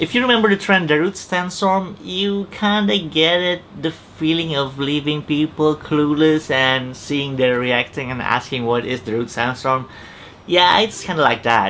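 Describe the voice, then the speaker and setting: A man with an Indonesian accent, fairly high-pitched, with lively intonation at a moderate pace amid noticeable background noise. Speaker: YouTuber. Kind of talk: explainer vlog talk to camera. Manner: casual, joking.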